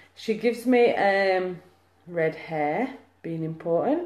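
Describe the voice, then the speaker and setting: A woman speaks in a Lancashire accent. Her pitch variation is ordinary. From Lancashire, northern England. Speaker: psychic medium. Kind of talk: live mediumship reading. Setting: live video stream.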